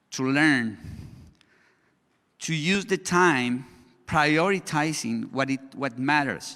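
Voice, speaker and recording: In a Spanish accent, a man speaks very slowly with long, frequent pauses, his fairly high voice bright and sharp in tone, showing ordinary pitch variation on a very clean recording with a silent background. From Colombia. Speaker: education consultant, conference speaker. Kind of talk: conference presentation. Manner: halting, with restarts and fillers.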